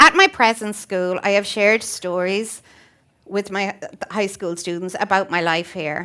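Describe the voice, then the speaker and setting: A woman with an Irish accent speaks fairly slowly in a medium-pitched, bright, sharp tone with ordinary pitch variation. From Ireland (Waterford). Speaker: teacher. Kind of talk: prepared talk.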